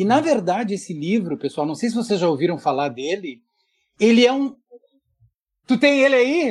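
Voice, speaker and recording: Very wide pitch swings, long and frequent pauses, and a moderate pace. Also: man, high pitch for a man. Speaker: visual artist. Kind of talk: casual chat. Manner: animated.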